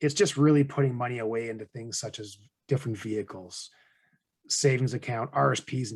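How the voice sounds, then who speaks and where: A man with a Canadian accent, somewhat breathy, at a very fast pace. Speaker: financial advisor and podcast host. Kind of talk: conversational podcast explanation. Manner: monotone.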